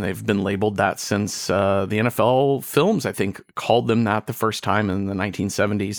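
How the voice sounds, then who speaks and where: Delivered at a moderate pace with hardly any pauses, an unremarkable speaking voice with an American accent keeps its intonation fairly even. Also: man. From Texas, suburbs of Dallas. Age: 40s. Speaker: podcaster. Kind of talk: casual chat.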